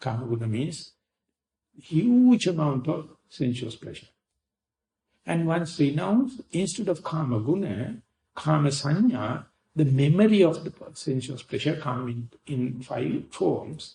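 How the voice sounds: At a fairly slow pace, a man with a fairly high pitch and a dark, mellow tone speaks with vocal fry and big pitch swings.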